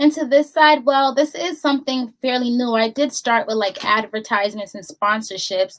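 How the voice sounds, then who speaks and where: A woman speaks at a moderate pace in a high pitch with ordinary pitch variation. She leaves hardly any pauses. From Boston, Massachusetts. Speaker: voiceover artist and business owner. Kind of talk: interview. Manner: soft-spoken; calm.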